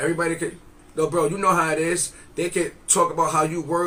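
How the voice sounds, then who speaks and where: A man talks at a very fast pace in a high, monotone voice with flat intonation. Noticeable background noise runs under his speech. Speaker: podcast co-host. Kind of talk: casual chat. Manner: loud.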